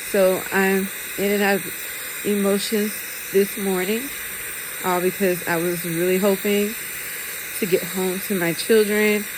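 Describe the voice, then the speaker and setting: Amid audible room echo and noticeable background noise, a woman speaks at a medium pitch and fairly slow pace in monotone, flat intonation, with long, frequent pauses. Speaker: vlogger in hospital recovery. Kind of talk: personal video diary. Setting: hospital ICU. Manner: halting, many ums.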